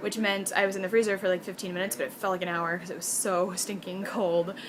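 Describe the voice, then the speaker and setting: Despite noticeable background noise, a woman keeps up a fairly quick pace as she talks. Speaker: college student vlogger. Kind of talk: casual video diary. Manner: fast; animated.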